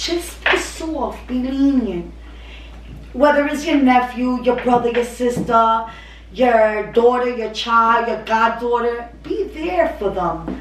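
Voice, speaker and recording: A very slow pace with ordinary pitch variation, amid noticeable background noise and audible room echo. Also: woman, high pitch for a woman. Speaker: family channel host. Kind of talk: casual chat. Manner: loud; animated.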